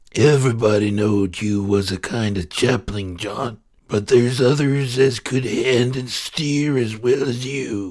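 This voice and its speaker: In a put-on, growling character voice, a man speaks at a medium pitch and moderate pace with hardly any pauses. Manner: growling, impatient.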